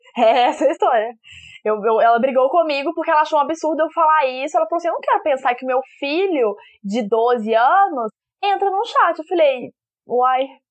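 With a Minas Gerais accent, a woman talks at a high pitch and a moderate pace, her intonation lively. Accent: mineiro. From Belo Horizonte, Minas Gerais, Brazil. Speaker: podcast co-host. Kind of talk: casual chat.

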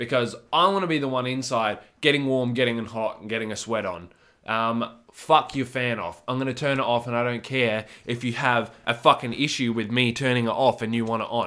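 The man speaks at a medium pitch and a fairly quick pace, with an animated, bright, sharp tone and ordinary pitch variation. The recording is very clean, with a silent background. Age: 20s. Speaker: podcast host. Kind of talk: casual monologue.

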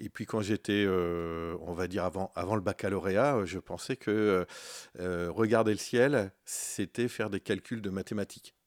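Fairly low in pitch, a man speaks at a fairly slow pace. The recording is very clean, with a silent background and a dry, close sound with no echo. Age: 50s. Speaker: astrophysics professor and researcher. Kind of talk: radio interview. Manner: halting, with frequent repetitions.

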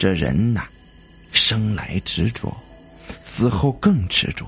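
Here a man uses a put-on character voice that is hoarse, with vocal fry and a husky, rough edge, at a slow pace. Faint music plays in the background. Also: fairly low pitch for a man, lively intonation, fairly bright tone.

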